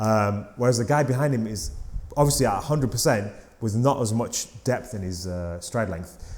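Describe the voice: At a moderate pace, a man talks in a fairly low pitch with a slightly mellow tone and ordinary pitch variation.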